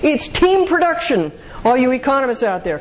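Very wide pitch swings in a woman's speech. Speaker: speaker answering audience questions on marriage; speaker. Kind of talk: lecture Q&A. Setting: stage with audience. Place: hall.

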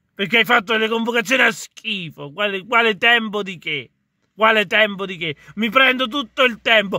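A man speaks at a moderate pace in a high voice. His pitch varies in an ordinary way, and the sound is dry with no echo. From Italy. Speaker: video blogger and football commentator. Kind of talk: angry football rant, vented directly at the camera. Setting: solo video address to camera. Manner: fiery, exasperated, blunt and swearing. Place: car. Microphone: phone near.

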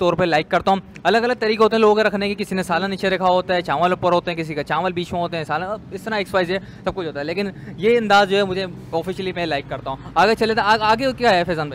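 A man with a high voice speaks at a fairly quick pace with ordinary pitch variation. The sound is dry with no echo, with light background noise. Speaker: food vlogger host. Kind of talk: casual vlog chat. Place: kitchen. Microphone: lapel.

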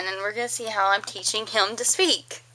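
In a Texan accent, a woman with a fairly high pitch speaks at a moderate pace with fairly even intonation. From East Texas. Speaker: mother. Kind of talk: casual dialect vlog to camera. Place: home room.

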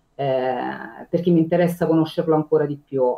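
A woman speaks with a very deep, low pitch and fairly even intonation. The background is quiet. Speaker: condominium administrator. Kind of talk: interview, casual chat. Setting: video call. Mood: warm, content. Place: home room. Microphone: video call.

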